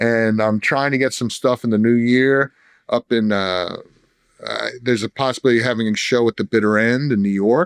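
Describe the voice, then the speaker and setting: A man with a New Jersey accent is heard in a dry, close sound with no echo. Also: medium pitch for a man, fairly even intonation, fairly quick pace. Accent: New Jersey accent, retained. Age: 50s. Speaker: songwriter in recovery. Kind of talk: casual podcast interview. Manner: halting, repeats words.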